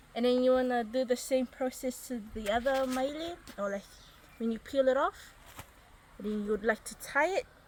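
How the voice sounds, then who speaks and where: A woman with a high pitch and ordinary pitch variation speaks at a fairly slow pace over noticeable background noise. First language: Niuean. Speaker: craft video host. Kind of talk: casual tutorial.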